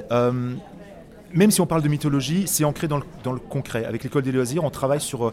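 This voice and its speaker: A man's medium-pitched voice at a fairly quick pace, with ordinary pitch variation and music in the background. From Autun, Burgundy, France. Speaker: children's author and actor. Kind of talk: interview. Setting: book fair.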